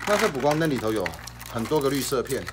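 Light noise hums in the background. The man's pitch varies in an ordinary way. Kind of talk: product demo tutorial. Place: shop.

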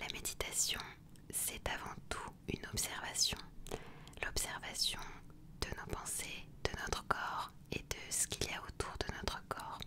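A woman whispering in a calm tone, very slow, with long, frequent pauses. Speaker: ASMR and meditation content creator reading aloud. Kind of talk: casual talk to camera, book presentation. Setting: outdoors, wind audible. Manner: soft, calm, conversational. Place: home room. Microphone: studio mic.

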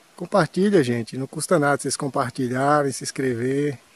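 Ordinary pitch variation at a moderate pace. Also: man, dry sound with no echo. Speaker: nature vlogger. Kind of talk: casual vlog commentary. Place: open country. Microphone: phone near.

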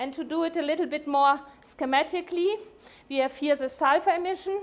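A woman speaks at a fairly quick pace. Her pitch is high, with ordinary variation.

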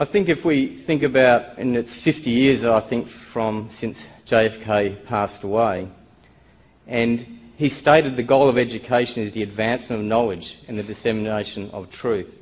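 Ordinary pitch variation runs through a man's speech at a moderate pace. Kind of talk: conference presentation. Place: hall. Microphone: podium.

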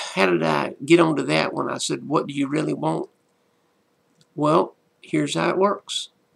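Against a quiet background, a man speaks at a moderate pace with long, frequent pauses. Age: 60s. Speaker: pastor. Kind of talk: motivational talk. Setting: solo video to camera. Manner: animated. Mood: warm, amused storytelling. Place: home room. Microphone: webcam.

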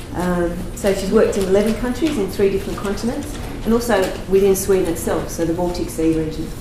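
A woman talks at a fairly quick pace, with medium pitch and ordinary pitch variation. Audible room echo and noticeable background noise surround her voice. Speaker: session chair and research consultant. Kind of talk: conference introduction and Q&A moderation. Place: meeting room.

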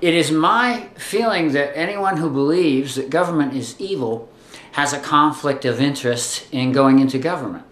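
A man's voice at a moderate pace, with ordinary pitch variation and audible room echo. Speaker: video blogger. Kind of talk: political opinion vlog. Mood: indignant, wry humor. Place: home room. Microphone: webcam.

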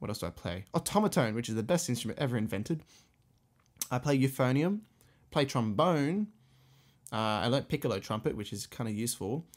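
In an Australian accent, a man at medium pitch talks at a fairly quick pace, with very wide pitch swings and long, frequent pauses, on a very clean recording with a silent background. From Australia, Sydney. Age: 20s. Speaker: music teacher and orchestra conductor. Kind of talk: solo podcast monologue. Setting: home music room, condenser mic. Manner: casual, hesitant with fillers.

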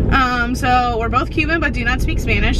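The woman keeps a moderate pace while loud noise fills the background. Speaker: vlogger. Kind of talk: casual vlog chat. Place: car. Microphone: phone near.

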